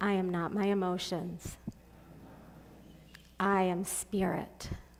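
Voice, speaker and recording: A woman speaks very slowly in a monotone, flat intonation. Audible room echo surrounds her voice. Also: medium pitch for a woman. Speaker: guest speaker. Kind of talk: guided meditation.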